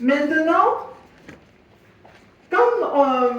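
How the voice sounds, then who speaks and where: A woman with a non-native accent, audible room echo and noticeable background noise. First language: English (speaking French). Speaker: physiotherapist. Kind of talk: workshop presentation. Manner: halting.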